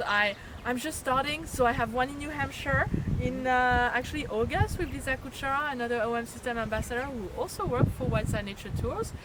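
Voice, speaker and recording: In a French accent, a woman speaks at a fairly quick pace in a high pitch with ordinary variation, with audible room echo and noticeable background noise. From France, Chalon-sur-Saône. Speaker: nature photographer and tour leader. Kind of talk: casual interview chat. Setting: on location at a birding event. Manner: animated.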